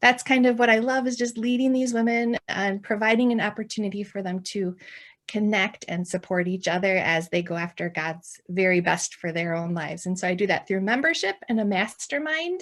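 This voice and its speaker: A woman speaks at a fairly quick pace with hardly any pauses, her pitch medium and its variation ordinary. The recording is very clean, with a silent background. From central Wisconsin. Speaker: ministry founder and pastor's wife. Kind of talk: podcast interview.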